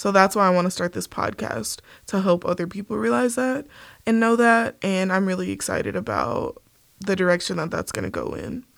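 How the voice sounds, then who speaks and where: Fairly quick speech from a woman, very clean recording, silent background. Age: 20s. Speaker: podcast host. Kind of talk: solo monologue. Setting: studio.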